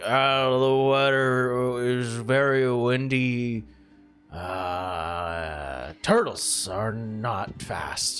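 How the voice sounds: Using a put-on character voice at a medium pitch, a man speaks very slowly over faint music in the background.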